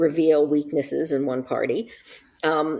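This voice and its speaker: In an American accent, a woman speaks with vocal fry. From US Northeast, Massachusetts. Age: 60s. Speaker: novelist and former intelligence analyst. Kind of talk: casual interview conversation. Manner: animated.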